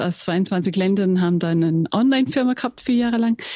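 A woman with an Austrian accent speaks at a moderate pace and medium pitch, with ordinary pitch variation and a dry, close sound with no echo. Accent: Austrian-tinged German. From England. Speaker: company executive. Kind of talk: interview. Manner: halting.

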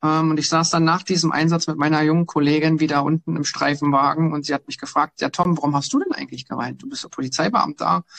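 With hardly any pauses, a man talks at a very fast pace in fairly even intonation, the sound dry and close with no echo. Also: fairly high pitch for a man. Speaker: police officer. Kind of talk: casual interview.

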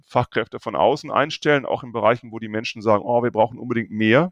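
A man talking very fast with ordinary pitch variation, his voice dry and close with no echo. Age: 50s. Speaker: public sector department head. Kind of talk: casual interview. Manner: hesitant, many fillers.

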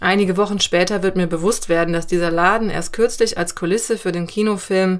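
In a very clean recording with a silent background, a woman with a plain, everyday voice speaks at a moderate pace and medium pitch, her intonation fairly even. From Cologne, Germany. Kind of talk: scripted narration. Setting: outdoors.

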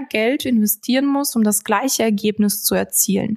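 A woman's somewhat breathy, fairly high-pitched voice with ordinary pitch variation at a moderate pace. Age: 20s. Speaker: financial sales manager. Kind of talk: podcast interview explaining finance topics.

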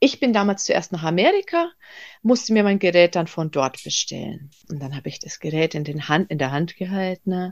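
A woman's medium-pitched voice, an unremarkable speaking voice, at a moderate pace with ordinary pitch variation and big swings in loudness, in a very clean, dry, close recording with a silent background and no echo. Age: 30s. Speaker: business owner selling red light therapy devices. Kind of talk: interview.

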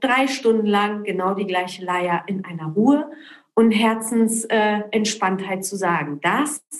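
Her fairly high-pitched voice moves at a very slow pace as this woman speaks. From Poland, raised in Berlin and Cologne from age ten. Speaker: entrepreneur. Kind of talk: interview.

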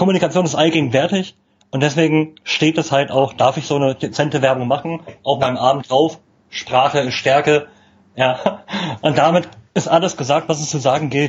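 Somewhat breathy, a man speaks at a moderate pace. His intonation stays fairly even. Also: fairly high pitch for a man. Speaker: communication trainer. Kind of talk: casual interview. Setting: live video stream.

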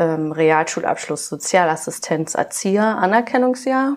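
The woman's pitch is fairly low. She delivers her words at a fairly slow pace. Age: 20s. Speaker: kindergarten teacher. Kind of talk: interview. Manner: hesitant, many filler sounds.

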